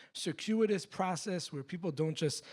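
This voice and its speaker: A man speaks at a moderate pace with an American accent and ordinary pitch variation. The recording is very clean, with a silent background. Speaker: sociology professor. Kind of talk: public talk Q&A. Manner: many filler words and restarts.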